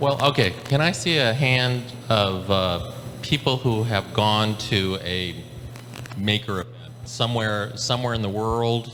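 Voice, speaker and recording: Fairly slow, medium-pitched speech from a man, ordinary pitch variation, noticeable background noise behind. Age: 60s. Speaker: maker community organizer. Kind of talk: panel discussion. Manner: halting, many repetitions.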